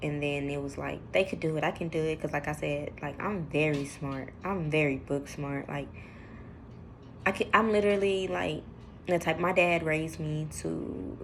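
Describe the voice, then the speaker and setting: A woman speaks at a moderate pace with a very deep, low pitch and lively intonation, and room echo is audible. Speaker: vlogger. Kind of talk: personal testimony vlog. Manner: mumbles when emotional, drops low; hesitant, many fillers.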